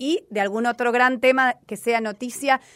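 The recording is very clean with a silent background and a dry, close sound with no echo. In it a woman speaks at a high pitch. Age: 40s. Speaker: radio host. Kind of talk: casual radio chat.

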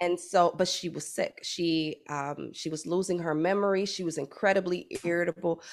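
With an American accent, a woman speaks at a fairly low pitch in a flat monotone. She leaves hardly any pauses. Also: moderate pace. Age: 40s. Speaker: psychologist. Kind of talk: casual chat.

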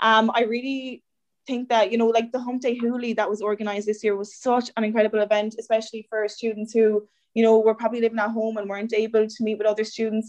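A woman with an Irish accent talks very fast. Her fairly high voice stays monotone and flat. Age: 20s. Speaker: student election candidate. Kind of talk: interview.

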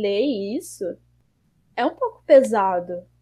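Here a woman is speaking. Her tone is dark and mellow. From Rio de Janeiro, Brazil. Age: 20s. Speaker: esports project founder. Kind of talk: interview. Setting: remote call.

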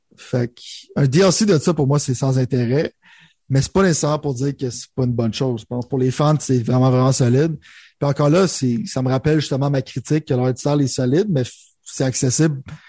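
In a Quebec accent, a man with a dark, mellow, somewhat breathy voice talks at a fairly quick pace with ordinary pitch variation. The sound is dry and close with no echo, over a quiet background. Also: medium pitch for a man. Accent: Québécois French. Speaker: gaming podcast co-host. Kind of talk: casual chat.

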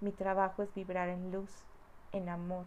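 A woman's monotone, flat delivery at a fairly slow pace, with audible room echo. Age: 40s. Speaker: spiritual healer. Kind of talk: personal testimony. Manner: warm.

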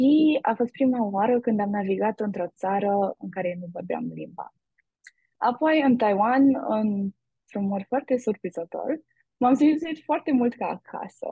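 A woman speaks at a fairly slow pace with fairly high pitch. Her voice is somewhat breathy, with lively intonation. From Romania, Brașov. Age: young. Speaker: university student. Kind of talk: interview.

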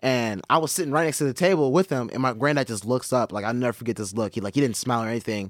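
The speech runs at a very fast pace with hardly any pauses and ordinary pitch variation, in a dry, close sound with no echo. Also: man, medium pitch for a man. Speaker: Vine and live-stream social media personality. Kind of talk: casual chat interview. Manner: casual, filler-heavy, hesitant.

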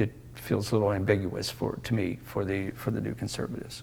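A man with an American accent talks at a moderate pace, his fairly low voice carrying vocal fry. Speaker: Mennonite educator and essayist. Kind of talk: interview. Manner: halting.

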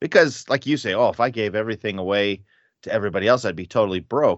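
Lively intonation marks this man's unremarkable speaking voice, set at a medium pitch. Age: 50s. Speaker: podcast host leading Bible study. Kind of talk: casual Bible study discussion.

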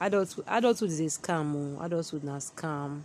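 A woman speaks at a moderate pace in a relaxed tone with a very deep, low pitch, over noticeable background noise. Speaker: podcaster. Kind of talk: casual monologue. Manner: relaxed, unofficial.

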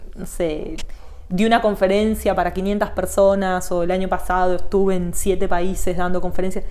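In a dark, mellow tone, a woman speaks at a moderate pace with monotone, flat intonation and a medium pitch, and the room echo is audible. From Argentina, Buenos Aires area (Morón). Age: 40s. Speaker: digital marketing teacher and consultant. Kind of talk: interview.

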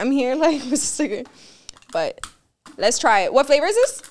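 This woman talks at a fairly quick pace, her high voice making very wide pitch swings. Long pauses come often. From Miami, Cuban-American. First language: Spanish. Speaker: podcast host. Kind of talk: sponsor read; casual chat.

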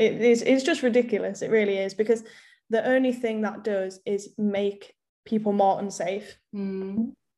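Speaking with an English accent, a woman with a fairly high pitch and a dark, mellow tone keeps a moderate pace and fairly even intonation against a quiet background. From England, small town. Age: 20s. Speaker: university student, activist. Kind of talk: casual chat.

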